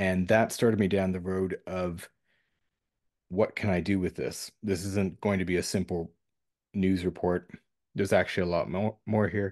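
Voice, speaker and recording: A man's very deep, low voice in a monotone, flat delivery at a moderate pace, with long, frequent pauses, dry and close with no echo, over a quiet background. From Canada, New Brunswick. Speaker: journalist. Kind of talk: interview.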